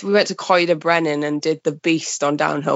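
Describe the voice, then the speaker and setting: A woman with a Welsh accent talks at a fairly quick pace. Her very deep, low voice has a monotone, flat intonation. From Wales, Pembrokeshire. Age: 20s. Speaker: mountain bike journalist. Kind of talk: casual chat.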